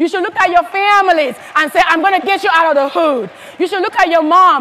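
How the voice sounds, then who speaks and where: The speaker has an animated tone and an African accent, talking at a fairly quick pace. Noticeable background noise runs under the voice. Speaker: motivational speaker at a sales convention. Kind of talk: motivational speech. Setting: stage with audience.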